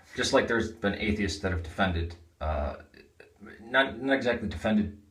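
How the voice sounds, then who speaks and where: Audible room echo surrounds a man as he speaks. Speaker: religious video blogger. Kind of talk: casual vlog monologue.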